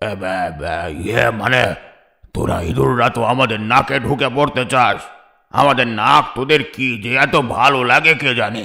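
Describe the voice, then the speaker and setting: A man puts on a cartoonish character voice. He speaks at a moderate pace and a medium pitch. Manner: blustering, stammering.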